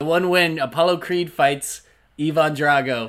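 A man with a fairly high voice is heard on a very clean recording with a silent background. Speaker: podcast co-host. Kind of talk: casual chat. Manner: animated.

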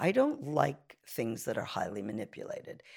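A woman with a New York accent at a moderate pace. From Brooklyn, New York (Canarsie). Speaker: photographer and art professor. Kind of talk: interview. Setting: her studio.

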